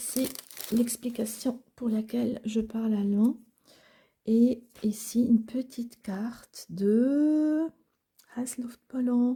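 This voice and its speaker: Her dark, mellow tone rests at a fairly high pitch for a woman. She talks at a very slow pace, with long, frequent pauses. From Switzerland, Basel (German-speaking). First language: Swiss German (speaking French). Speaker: crafting YouTuber. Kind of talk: casual show-and-tell. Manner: animated.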